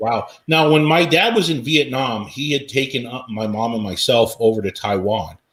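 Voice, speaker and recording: Delivered at a moderate pace with hardly any pauses, a normal speaking voice rises and falls with lively intonation. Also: man, medium pitch for a man. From Washington State, US. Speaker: RV YouTube channel host. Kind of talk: casual interview chat.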